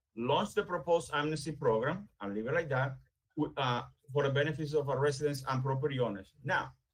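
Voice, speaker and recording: A man speaks at a fairly quick pace. His voice is somewhat breathy and fairly high in pitch. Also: ordinary pitch variation. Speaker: town building official. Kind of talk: staff report presentation. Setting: virtual meeting. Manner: fast.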